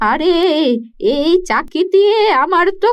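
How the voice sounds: This cartoonish character voice sounds female, pitched extremely high and delivered at a very slow pace.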